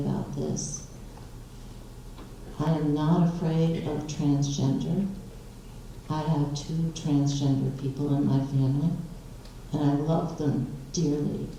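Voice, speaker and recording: A woman talks at a very slow pace with a very deep, low pitch and long, frequent pauses. Noticeable background noise and audible room echo surround her voice. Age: 70s. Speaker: public commenter at school board meeting. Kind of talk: unprepared public comment. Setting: school board meeting. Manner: hesitant, with fillers.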